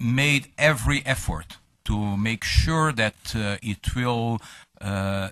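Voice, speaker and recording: This man has a bright, sharp tone. He talks at a very slow pace. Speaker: panelist, foreign policy expert. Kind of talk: conference panel talk. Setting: conference with audience. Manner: halting, many fillers.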